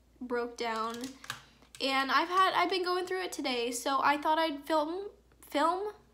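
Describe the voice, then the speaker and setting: A woman talks at a fairly slow pace, and audible room echo can be heard. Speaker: beauty vlogger. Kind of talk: makeup tutorial. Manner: monotone.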